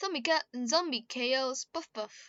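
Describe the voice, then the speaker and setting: Her voice sits high for a woman, with lively intonation and a fairly slow pace. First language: Spanish. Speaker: YouTuber reading own fanfiction. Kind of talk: reading aloud with commentary. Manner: halting, many self-corrections.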